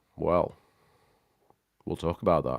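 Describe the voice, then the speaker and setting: A man speaks with a British accent. The sound is dry and close, with no echo. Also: very clean recording, silent background. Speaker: tech livestream host. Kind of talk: casual livestream chat. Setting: live stream. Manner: animated.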